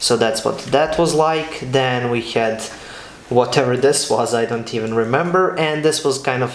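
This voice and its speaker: Amid light background noise and audible room echo, a man speaks at a moderate pace with ordinary pitch variation. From Serbia. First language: Serbian. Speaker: architecture student and video creator; architecture graduate vlogger. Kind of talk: casual vlog talk; casual vlog chat. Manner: hesitant, many fillers and repeats. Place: home room.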